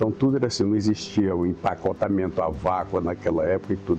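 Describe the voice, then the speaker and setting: A man speaks with ordinary pitch variation. Behind him, music is in the background. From Araguatins, northern Tocantins, Brazil. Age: 70s. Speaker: local elder interviewee. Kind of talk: interview, oral history recollection.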